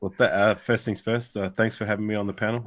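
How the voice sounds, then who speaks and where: A man's very fast, fairly low voice with an Australian accent and monotone, flat intonation, on a very clean recording with a silent background. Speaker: sports YouTuber, panel guest. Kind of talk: casual podcast chat. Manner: halting, many fillers and repeats.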